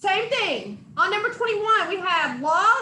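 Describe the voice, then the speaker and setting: A woman projects her raised voice at an extremely high pitch, with a bright, sharp tone. Room echo is audible. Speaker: math instructor. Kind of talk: lecture.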